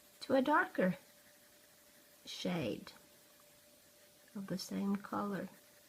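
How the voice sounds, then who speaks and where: With a Norwegian accent, a woman speaks very slowly at a medium pitch. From Norway. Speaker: art tutorial youtuber. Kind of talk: tutorial. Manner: halting, searching for words.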